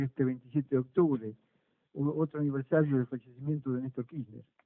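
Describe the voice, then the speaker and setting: The speaker is a man with a fairly high pitch. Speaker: radio host. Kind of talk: radio interview. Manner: halting, repeats words.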